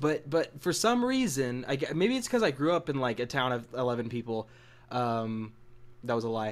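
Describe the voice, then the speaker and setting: Moderate pace and ordinary pitch variation from a man at medium pitch. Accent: American. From US South, Missouri Ozarks. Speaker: podcast co-host. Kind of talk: casual chat. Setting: live-streamed podcast.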